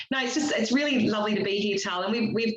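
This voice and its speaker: The speaker has an Australian accent. Noticeable background noise and audible room echo are present. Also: woman. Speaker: business network director. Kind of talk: online meetup remarks.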